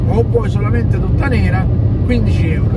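The sound is dry, with no echo, and the background noise is loud. A man is speaking. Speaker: van owner vlogger. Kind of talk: casual vlog chat. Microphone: phone near.

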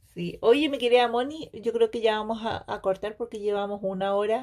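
Speaking with a Chilean accent, a woman has a fairly high pitch and ordinary pitch variation. Her tone is animated and her pace moderate. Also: hardly any pauses. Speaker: beauty product sales consultant and YouTuber. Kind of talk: casual chat.

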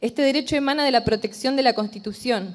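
Her pace is fairly quick. This woman shows ordinary pitch variation. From Argentina, Entre Ríos (Concordia); Entre Ríos, Argentina. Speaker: general practitioner doctor, activist. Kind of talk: formal speech to a legislative committee. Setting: committee hearing room. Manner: formal. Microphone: podium.

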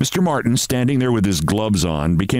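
The intonation stays lively. The text is read aloud plainly.

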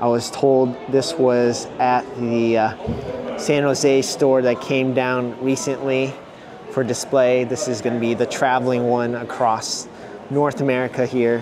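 A man speaks fairly slowly in a monotone, flat intonation with very even loudness, over noticeable background noise. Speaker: vlogger. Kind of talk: casual vlog commentary. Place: shop. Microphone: phone near.

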